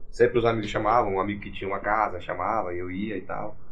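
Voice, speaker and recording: Pitch swings very widely in this man's speech. He talks very fast. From Gurupi, Tocantins, Brazil. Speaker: sertanejo singer. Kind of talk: casual podcast interview.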